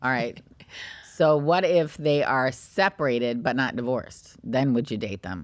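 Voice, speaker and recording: A woman with an American accent, very deep and low in pitch, with lively intonation. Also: moderate pace. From New York. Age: 50s. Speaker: podcast host and realtor. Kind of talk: casual chat.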